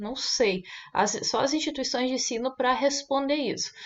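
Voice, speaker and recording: A woman's high-pitched voice. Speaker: online course teacher. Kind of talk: casual vlog monologue. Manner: many filler sounds.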